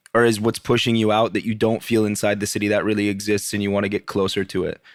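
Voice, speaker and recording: The delivery is very fast, with an American accent. Intonation stays monotone and flat. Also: man, fairly low pitch for a man. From US Northeast, northern Vermont. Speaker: podcast host, cook. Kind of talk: interview conversation.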